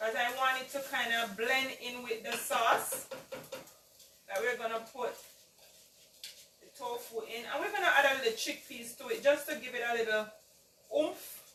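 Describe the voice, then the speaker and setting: The speaker moves at a moderate pace with ordinary pitch variation and long, frequent pauses. Audible room echo and noticeable background noise fill the recording. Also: woman, high pitch for a woman. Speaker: home cooking video host. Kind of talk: cooking tutorial. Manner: casual, chatty.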